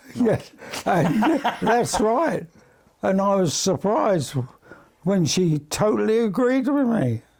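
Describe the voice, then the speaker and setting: A high-pitched man with a London accent, very slow pace, long, frequent pauses, very even loudness and very wide pitch swings. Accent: English, London area. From England. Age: 90s. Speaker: retired seaman, club founder. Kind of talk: interview. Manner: halting.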